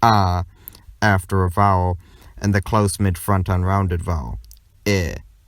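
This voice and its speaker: In a very clean recording with a silent background, a man with a very deep, low voice speaks at a moderate pace in a flat monotone. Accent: American. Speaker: conlang video creator. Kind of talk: scripted narration.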